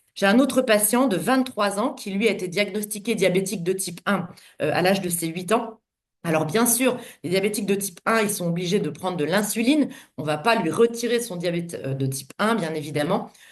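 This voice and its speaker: A woman at medium pitch with lively intonation and a fairly quick pace. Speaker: doctor presenting to distributors. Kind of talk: online conference presentation.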